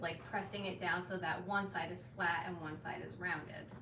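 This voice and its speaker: Noticeable background noise fills the recording. Through it, a woman talks with audible room echo. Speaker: leathercraft maker. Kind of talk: casual chat. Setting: workshop live stream.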